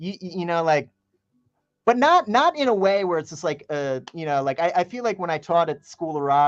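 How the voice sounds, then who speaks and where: The voice carries a slight Philadelphia accent. The sound is dry and close, with no echo. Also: man, high pitch for a man, lively intonation, moderate pace. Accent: Philadelphia accent, mild version. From Philadelphia, US East Coast. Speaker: musician. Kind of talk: radio interview. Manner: loud, projecting.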